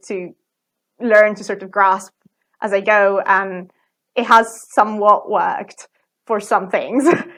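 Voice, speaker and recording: A woman with an Italian accent, fairly high pitch, fairly even intonation and a fairly slow pace. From Italy. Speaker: plant biologist and ballet dancer. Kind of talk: interview conversation.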